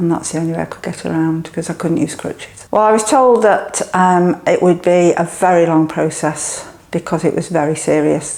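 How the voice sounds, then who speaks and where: A woman speaks with an English accent at a moderate pace. Her pitch is fairly low. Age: 70s. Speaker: gym client. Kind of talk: testimony.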